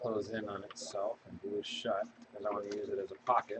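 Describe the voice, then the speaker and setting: Soft-spoken and mumbling, a man talks at a moderate pace. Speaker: crafting video creator. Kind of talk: casual crafting tutorial chat. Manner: mumbling, soft-spoken.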